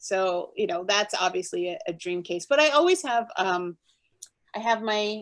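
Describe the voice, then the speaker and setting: A woman speaks at a fairly high pitch. Her intonation is lively. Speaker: book art director. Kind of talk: interview. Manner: fast.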